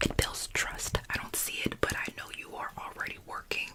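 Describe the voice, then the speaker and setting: Whispering in a relaxed tone at a moderate pace, a woman is heard over noticeable background noise. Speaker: ASMR creator and Bible study host. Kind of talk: ASMR Bible study ramble to camera. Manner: soft, relaxed, conversational.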